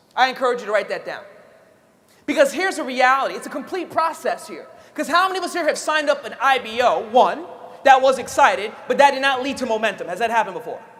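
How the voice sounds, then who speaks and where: Very fast and animated, a man speaks at an extremely high pitch with lively intonation. Audible room echo and noticeable background noise fill the recording. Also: big swings in loudness. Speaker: network marketing trainer. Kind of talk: motivational training talk.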